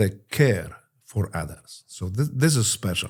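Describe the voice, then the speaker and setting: With a Polish accent, a man talks with lively intonation and vocal fry. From Poland. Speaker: war veteran. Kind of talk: interview. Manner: halting.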